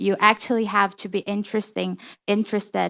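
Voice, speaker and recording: Recorded very cleanly against a silent background, a woman speaks in a flat monotone, the sound dry and close with no echo. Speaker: poker industry panelist. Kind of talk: panel discussion. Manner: halting, many fillers.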